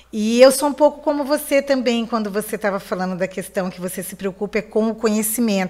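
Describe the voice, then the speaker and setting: With a plain, everyday voice, a woman talks at a fairly quick pace and fairly high pitch, hardly pausing, her pitch varying in an ordinary way while her loudness swings widely. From Mato Grosso do Sul, Brazil (Campo Grande). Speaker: lawyer and political candidate. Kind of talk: radio interview.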